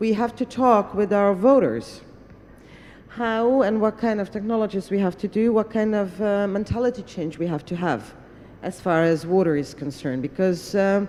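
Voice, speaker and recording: A woman speaks at a moderate pace in a medium pitch. Her tone is dark and mellow, with ordinary pitch variation. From Hungary. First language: Hungarian. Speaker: parliamentarian. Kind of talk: panel discussion remarks. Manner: hesitant, with fillers.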